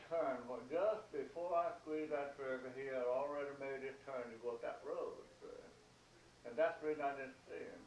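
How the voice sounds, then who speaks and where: Someone talks at a fairly quick pace with a Southern US accent over noticeable background noise. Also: man. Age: 80s+. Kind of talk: storytelling in a home interview. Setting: at home, seated at a table.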